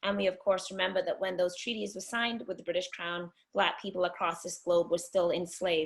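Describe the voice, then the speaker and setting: Talking at a fairly quick pace with hardly any pauses, a woman uses a fairly low pitch with vocal fry and ordinary pitch variation. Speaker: poet and activist. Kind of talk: webinar talk.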